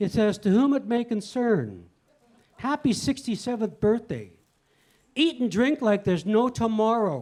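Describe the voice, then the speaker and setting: High-pitched male voice. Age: 60s. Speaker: comedian. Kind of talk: stand-up.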